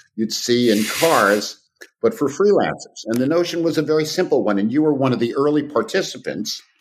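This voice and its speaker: A man talks at a fairly quick pace with vocal fry. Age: 70s. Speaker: freelance platform advisor. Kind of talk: podcast interview. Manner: halting with repeated words.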